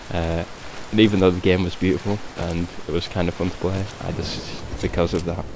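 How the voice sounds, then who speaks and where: A man with a very deep, low voice speaks quietly in a flat monotone at a fairly quick pace. Noticeable background noise sits behind him. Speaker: gamer. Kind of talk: casual gameplay commentary. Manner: quiet, hushed.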